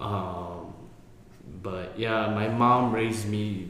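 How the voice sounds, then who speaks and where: Fairly low-pitched male speech in an American accent, very slow in pace, with fairly even intonation and noticeable background noise. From Colorado, US. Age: 20s. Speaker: podcast co-host. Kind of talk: casual chat. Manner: halting.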